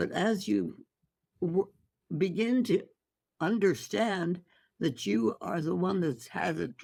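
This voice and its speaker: This woman has a fairly low pitch. Vocal fry runs through her voice. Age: 80s+. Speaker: holistic physician. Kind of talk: interview answer.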